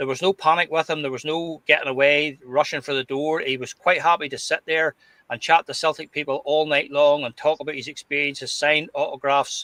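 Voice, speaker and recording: In a Glasgow accent, the speaker goes at a fairly quick pace with a bright, sharp tone and monotone, flat intonation, in a dry, close sound with no echo. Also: man. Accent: Scottish (Glasgow). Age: 60s. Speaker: podcast host. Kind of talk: casual chat.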